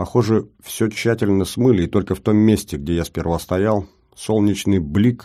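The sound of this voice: The pitch variation is ordinary in this unforced reading voice.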